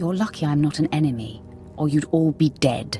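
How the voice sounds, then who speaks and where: A put-on, growling character voice, female-sounding yet very deep and low in pitch, at a moderate pace with clear music in the background. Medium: video game. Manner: terse, menacing.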